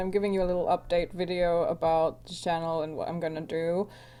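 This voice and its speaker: The voice has a dark, mellow tone and moves at a fairly quick pace on a very clean recording with a silent background. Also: woman. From Finland. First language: Finnish. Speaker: youtuber, fan channel creator. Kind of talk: casual vlog chat while drawing. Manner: hesitant, many fillers.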